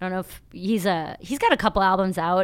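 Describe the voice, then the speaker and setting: A woman with a Midwestern American accent speaks with ordinary pitch variation. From Ohio. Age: 30s. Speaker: comedian. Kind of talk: casual chat. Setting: studio.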